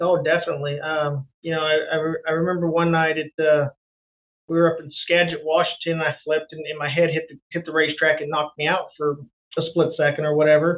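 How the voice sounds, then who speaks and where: Very fast and monotone, a man speaks at a fairly high pitch, his loudness swinging widely. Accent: American. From Elk Grove, California. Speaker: retiring sprint car racer. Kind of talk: radio interview. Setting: phone call. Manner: halting, repetitive.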